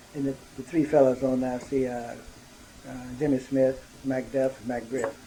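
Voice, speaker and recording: Over noticeable background noise, a man keeps a moderate pace and medium pitch with monotone, flat intonation. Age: 70s. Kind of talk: interview answer.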